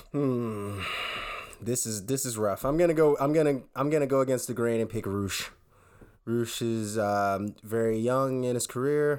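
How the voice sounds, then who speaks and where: Recorded very cleanly against a silent background, a man speaks at a moderate pace and medium pitch in an ordinary speaking voice with ordinary pitch variation. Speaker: podcast co-host. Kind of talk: casual chat. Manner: joking, playful.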